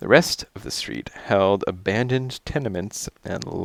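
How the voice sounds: The pitch varies in an ordinary way as a natural reading voice carries the text.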